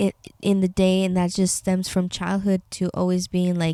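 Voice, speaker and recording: A woman with a Spanish accent speaks at a moderate pace in a medium-pitched, dark, mellow voice, with a dry, close sound, no echo, and a very clean recording with a silent background. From Tecate, Baja California, Mexico. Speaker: podcaster. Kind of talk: casual chat. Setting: bedroom. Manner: halting.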